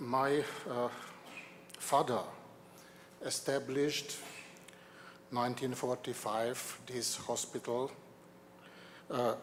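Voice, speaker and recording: A man's monotone, flat delivery at a very slow pace with long, frequent pauses and noticeable background noise. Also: medium pitch for a man. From Hungary. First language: Hungarian. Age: 60s. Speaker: award recipient's son. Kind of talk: acceptance speech. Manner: halting.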